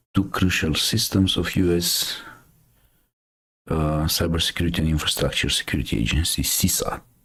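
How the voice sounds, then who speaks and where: A man speaks with a Romanian accent. His pitch is very deep and low. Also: long, frequent pauses, very even loudness. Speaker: cybersecurity news streamer. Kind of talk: casual live stream commentary. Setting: live stream. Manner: hesitant, many fillers.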